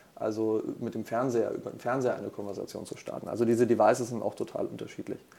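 A man at a very fast pace, with hardly any pauses and big swings in loudness. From Franconia, Germany. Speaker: corporate strategist. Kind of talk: podcast interview.

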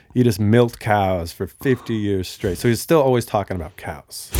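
This man has an unremarkable speaking voice with an American accent and a fairly low pitch. He talks at a moderate pace with ordinary pitch variation. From Bellevue, Washington, US. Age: 30s. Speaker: strength coach and yoga teacher, guest. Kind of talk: casual chat.

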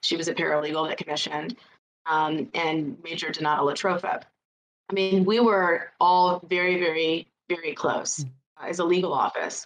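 A woman speaks with an American accent in an ordinary speaking voice, her pitch fairly low with ordinary variation. Her pace is moderate. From Illinois. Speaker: military paralegal. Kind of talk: interview.

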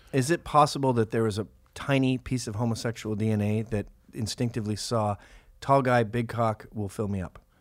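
This is a plain, everyday voice at a fairly quick pace. Its intonation is fairly even. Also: man, medium pitch for a man, very clean recording, silent background. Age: 40s. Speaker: podcast host. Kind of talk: casual comedic banter. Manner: joking, irreverent.

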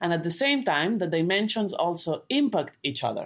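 A woman with a Spanish accent talks at a moderate pace in a fairly low pitch with very wide pitch swings, recorded very cleanly against a silent background. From Spain. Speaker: sustainability researcher and book co-author. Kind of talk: interview. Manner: halting.

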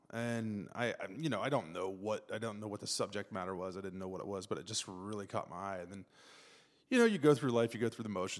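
In a very clean recording with a silent background, a man with an Ohio accent speaks at a fairly low pitch and a fairly quick pace. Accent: Midwestern US (Ohio). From Ohio (Zanesville). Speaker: photojournalist. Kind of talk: casual interview chat.

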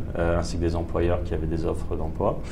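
A man with a very deep, low voice speaks amid noticeable background noise. There is audible room echo. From Paris, France. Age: 30s. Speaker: entrepreneur. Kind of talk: interview. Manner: hesitant, many fillers.

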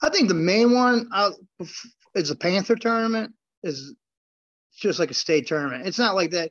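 In an American accent, a high-pitched man talks with very wide pitch swings and long, frequent pauses. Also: moderate pace. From US Midwest, Chicago south suburbs, Illinois. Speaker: former champion wrestler and grappler. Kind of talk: casual interview.

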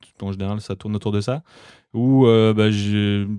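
A plain, everyday voice with ordinary pitch variation. The sound is dry and close with no echo, on a very clean recording with a silent background. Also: man. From France, Alsace. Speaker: podcaster and winemaker's son. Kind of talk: casual chat.

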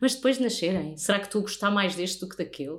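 A woman speaks in a plain, everyday voice at a medium pitch. Her intonation is lively and her pace fairly quick. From Portugal, countryside near Lisbon. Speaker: radio host. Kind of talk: casual chat. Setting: host's living room.

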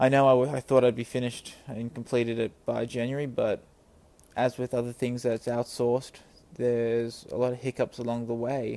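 Speaking at a moderate pace, a man with a medium-pitched voice and a dark, mellow tone delivers his words in a flat monotone. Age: 20s. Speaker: comic book writer. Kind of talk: audio blog monologue. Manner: casual, halting with fillers.

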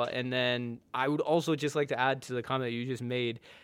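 With a US West Coast accent, a man speaks at a fairly quick pace in a medium pitch, using ordinary pitch variation. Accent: US West Coast American. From US West Coast (born in India, moved young). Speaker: photographer. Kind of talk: casual interview. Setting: studio.

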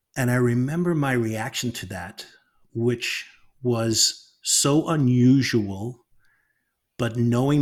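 In a very clean recording over a silent background, a man speaks at a very slow pace and a medium pitch, with ordinary pitch variation and big swings in loudness. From Northern Ireland. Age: 50s. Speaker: author and storyteller. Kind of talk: casual interview conversation.

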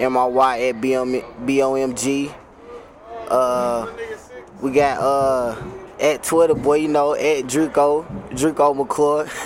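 A man speaks in a fairly high pitch at a very slow pace. His intonation is monotone and flat, with noticeable background noise behind him. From North Carolina. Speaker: rap artist. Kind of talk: live interview. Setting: live venue.

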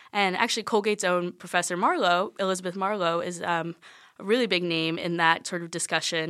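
A woman in an American accent speaks at a fairly quick pace with a bright, sharp tone, fairly low pitch and fairly even intonation. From South Carolina. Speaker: art history student. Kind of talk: interview.

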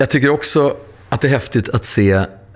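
A man talks in a normal speaking voice at a moderate pace. His intonation is lively. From Stockholm. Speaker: podcast host. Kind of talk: interview.

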